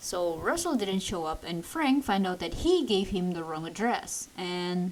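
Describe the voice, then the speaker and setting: With an Indonesian accent, a woman speaks at a fairly slow pace. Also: medium pitch for a woman, ordinary pitch variation. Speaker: movie reviewer. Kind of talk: movie review commentary. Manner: ranting.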